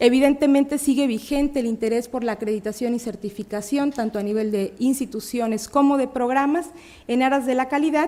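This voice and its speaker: With a Mexican accent, a woman speaks high and fairly quickly, her pitch varying in an ordinary way. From Mexico, Puebla. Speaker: academic researcher. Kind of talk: conference talk. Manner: halting, many fillers.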